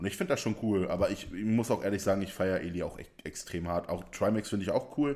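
On a very clean recording with a silent background, a man talks at a fairly quick pace in a dark, mellow tone. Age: 20s. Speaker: podcast co-host and streamer. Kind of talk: casual chat. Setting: shared single microphone. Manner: loud.

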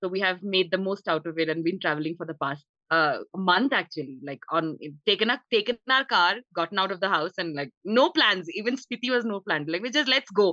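With an unremarkable speaking voice, a woman talks fairly quickly at a medium pitch, her intonation lively and her speech having hardly any pauses. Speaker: satirist and online content creator. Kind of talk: casual panel chat. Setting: video call from Spiti.

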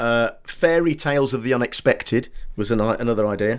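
On a very clean recording with a silent background, a man speaks at medium pitch with an English accent. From Britain. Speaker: comedian and writer. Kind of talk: casual chat.

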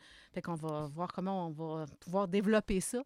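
The recording is very clean, with a silent background. A woman speaks at a moderate pace with a Quebec accent. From Quebec, Lower St. Lawrence region. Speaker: music education professor. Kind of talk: interview.

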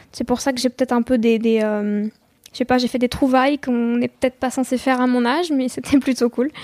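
A woman speaks in a high pitch at a fairly quick pace with flat, monotone intonation, the sound dry and close with no echo. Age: 20s. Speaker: singer-songwriter. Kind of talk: interview. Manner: hesitant.

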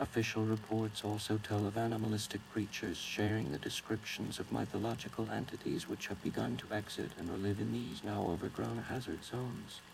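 In a normal speaking voice, a man talks at a fairly quick pace with hardly any pauses, a fairly low pitch and fairly even intonation. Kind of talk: formal emergency newsreading. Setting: in-fiction emergency broadcast. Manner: stern, official, measured.

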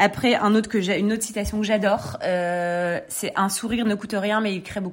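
A woman of medium pitch speaks monotone and flat at a fairly quick pace, with hardly any pauses. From northern France, Lille. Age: 30s. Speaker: clothing brand co-founder. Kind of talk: interview. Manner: hesitant, many fillers.

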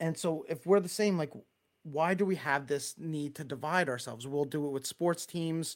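A man with a Long Island accent talks at a moderate pace, his pitch fairly high with ordinary variation. The recording is very clean, with a silent background. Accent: Long Island New York. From Long Island, New York. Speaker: church speaker giving a talk. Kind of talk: sermon-style talk. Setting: live stream with chat. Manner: casual, chatty, self-deprecating.

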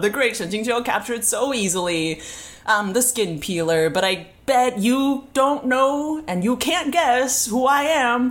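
A woman puts on a character voice that is husky and high-pitched. She delivers it at a fairly slow pace. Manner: taunting, gloating.

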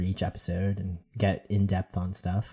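In an American accent, a man with a very deep, low pitch speaks in a dark, mellow tone and monotone, flat intonation on a very clean recording with a silent background. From New York. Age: 30s. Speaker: mythology podcaster. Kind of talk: casual chat.

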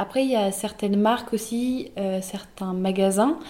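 Over noticeable background noise, a woman speaks at a moderate pace. Her voice is medium-pitched with fairly even intonation. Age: 18. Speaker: student entrepreneur. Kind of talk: interview. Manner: halting.

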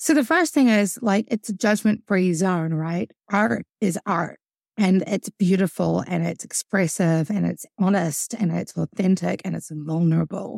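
A woman's medium-pitched voice with ordinary pitch variation at a fairly slow pace, dry and close with no echo, on a very clean recording with a silent background. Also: hardly any pauses. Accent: New Zealand. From New Zealand. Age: 30s. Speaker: musician and songwriter. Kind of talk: casual interview.

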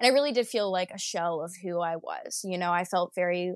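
Recorded with a dry, close sound, no echo and a quiet background, a woman at medium pitch uses a normal speaking voice at a moderate pace with fairly even intonation. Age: 20s. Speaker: podcast guest sharing recovery story. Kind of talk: interview, personal testimony. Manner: casual, frequent laughter.

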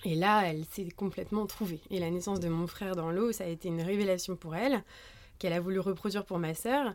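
Someone speaks at a very fast pace with ordinary pitch variation on a very clean recording with a silent background. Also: woman. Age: 30s. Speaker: pediatric nurse and mother sharing birth stories. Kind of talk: personal testimony in interview. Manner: halting, many hesitations.

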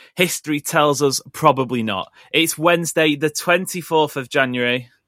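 A man's fairly high voice at a moderate pace with ordinary pitch variation, music in the background, and a dry, close sound with no echo. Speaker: football podcast host. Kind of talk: casual chat.

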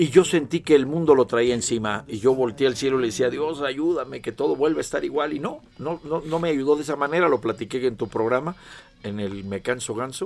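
At a fairly quick pace, a man of medium pitch speaks in a normal speaking voice with ordinary pitch variation. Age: 60s. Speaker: singer-songwriter. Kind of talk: casual chat. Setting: studio.

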